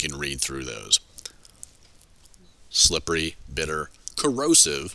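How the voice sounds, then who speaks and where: Here a man talks at a moderate pace. His tone is bright and sharp, with vocal fry. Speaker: high school chemistry teacher. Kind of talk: lecture. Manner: halting.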